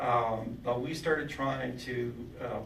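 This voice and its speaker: A man at a medium pitch with ordinary pitch variation, with audible room echo and noticeable background noise. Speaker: social services official. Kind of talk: presentation to parent group. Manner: fast.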